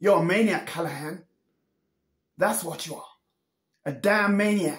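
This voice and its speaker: A man's put-on character voice, raspy and high-pitched, at a moderate pace, with big swings in loudness and long, frequent pauses. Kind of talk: acting monologue. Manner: menacing, taunting.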